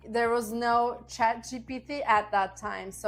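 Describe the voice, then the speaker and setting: With a Turkish accent, a woman talks at a fairly high pitch. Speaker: business and life coach. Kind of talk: motivational talk to camera.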